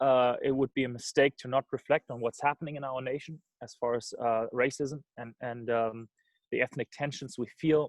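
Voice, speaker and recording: A man's fairly high-pitched voice with a German accent, in a dry, close sound with no echo. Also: big swings in loudness. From Germany. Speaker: missions organization director. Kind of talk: talk on video call. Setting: video call. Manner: hesitant, many fillers.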